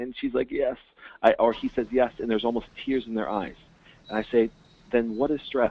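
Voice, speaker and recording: A man at a fairly quick pace, with long, frequent pauses. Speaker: naturopath and chiropractor. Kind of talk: webinar presentation. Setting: phone call webinar. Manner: fast; animated.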